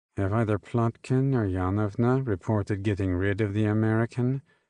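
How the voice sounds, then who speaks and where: Using a put-on character voice, a man speaks gravelly and fairly low at a moderate pace, with fairly even intonation and very even loudness, against a quiet background. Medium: read story. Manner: quiet, never raised.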